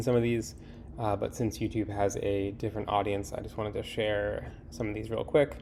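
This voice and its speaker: A man speaks with a dark, mellow tone at a fairly low pitch. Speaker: small hardware company founder. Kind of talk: casual update to camera. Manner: casual, hesitant with fillers.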